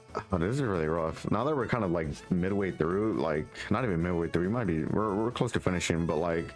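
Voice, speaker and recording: Over music in the background, a man mumbles at a moderate pace. His pitch is very deep and low, with ordinary variation. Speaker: card collection reviewer. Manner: stutters and mumbles; casual, slangy.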